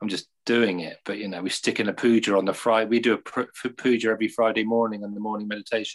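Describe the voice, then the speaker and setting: A man's fairly low voice at a very fast pace, monotone and flat, with hardly any pauses. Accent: English. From England. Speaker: Buddhist community leader. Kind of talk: interview. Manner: halting.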